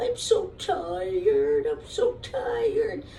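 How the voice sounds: A woman does a cartoonish character voice at an extremely high pitch, with a dark, mellow tone and vocal fry. She speaks at a very slow pace with ordinary pitch variation.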